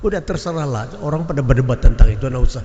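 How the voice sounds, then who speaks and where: A man speaks at a medium pitch and a very fast pace. His intonation is lively, and there's noticeable background noise. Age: 80s+. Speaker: preacher. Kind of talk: sermon. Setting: mosque, Friday prayer congregation.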